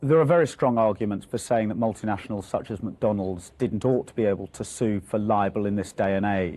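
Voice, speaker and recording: Fairly quick speech from a man, dark and mellow in tone, medium in pitch with ordinary pitch variation, against a quiet background. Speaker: lawyer. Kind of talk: news interview answer. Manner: passionate, relaxed.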